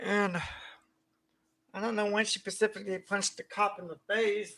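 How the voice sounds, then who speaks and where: A man speaks in a raised, projected voice at a high pitch, with a bright, sharp tone. His pace is moderate and his intonation is flat and monotone. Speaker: vlogger. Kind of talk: personal venting monologue. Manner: slurred speech; halting, disorganized.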